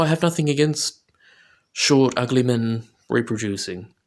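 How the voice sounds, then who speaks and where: A man mumbles at a moderate pace. His pitch sits in the medium range. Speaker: political commentator. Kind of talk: video commentary monologue. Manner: slurring and mumbling; halting.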